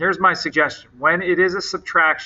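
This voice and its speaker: A man speaks at a fairly quick pace. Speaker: math teacher. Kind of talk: tutorial. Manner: fast; casual.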